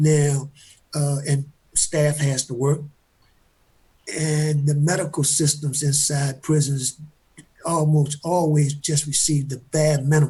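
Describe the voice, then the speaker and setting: Very slowly and with long, frequent pauses, a man speaks in a fairly high pitch with a dark, mellow, somewhat breathy tone and monotone, flat intonation. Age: 70s. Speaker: exoneree. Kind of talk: panel discussion. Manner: halting.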